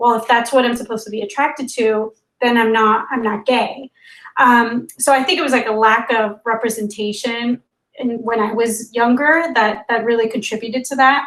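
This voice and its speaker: A woman speaks at a moderate pace in a normal speaking voice. Her pitch is fairly high, and her intonation stays fairly even. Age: 30s. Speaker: app co-founder, interviewee. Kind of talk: casual interview.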